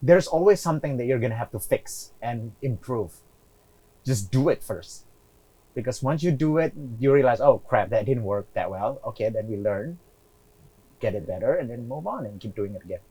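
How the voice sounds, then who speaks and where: With lively intonation and big swings in loudness, a man talks at a moderate pace in a dark, mellow, somewhat breathy tone. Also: medium pitch for a man. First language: not English. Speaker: real estate investor. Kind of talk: interview.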